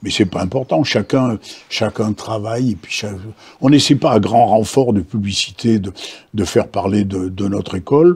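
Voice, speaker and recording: Somewhat breathy, a man speaks at a fairly slow pace. His pitch is fairly low. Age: 80s+. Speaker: martial arts master. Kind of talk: interview answer. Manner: hesitant, repetitive.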